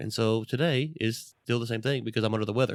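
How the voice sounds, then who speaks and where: On a very clean recording with a silent background and a dry, close sound with no echo, a man of medium pitch speaks at a very fast pace. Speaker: podcast host. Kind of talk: podcast interview.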